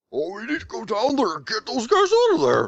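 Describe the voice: A put-on character voice at a fairly high pitch moves along at a fairly quick pace.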